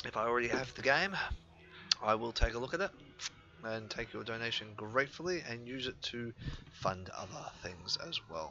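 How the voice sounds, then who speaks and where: A man with an Australian accent and a medium pitch speaks at a moderate pace with lively intonation and long, frequent pauses. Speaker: gaming YouTuber. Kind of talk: gameplay commentary. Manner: hesitant, many fillers.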